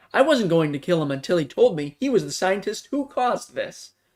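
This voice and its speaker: A put-on character voice at a middle pitch moves at a fairly quick pace with very wide pitch swings. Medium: read story. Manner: cold, blunt.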